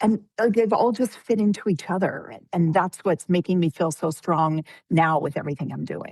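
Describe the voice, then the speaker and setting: In a dry, close recording with no echo, a woman with an unremarkable speaking voice and a fairly low pitch talks at a moderate pace with ordinary pitch variation and hardly any pauses. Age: 50s. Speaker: midlife transition coach. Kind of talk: interview.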